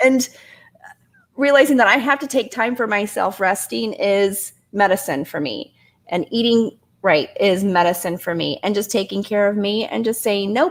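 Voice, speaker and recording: A woman with a Midwestern US accent, medium pitch, lively intonation and a moderate pace. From Indiana. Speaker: guest living with multiple sclerosis. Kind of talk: casual chat.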